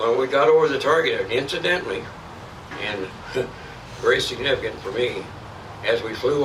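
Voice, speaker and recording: A man talks at a moderate speed while noticeable noise fills the background. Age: 80s+. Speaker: war veteran. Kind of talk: interview answer.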